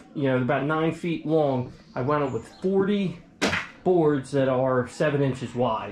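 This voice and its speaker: Amid light background noise and audible room echo, a man speaks at a fairly slow pace with ordinary pitch variation. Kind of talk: casual vlog chat. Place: workshop. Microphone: phone near.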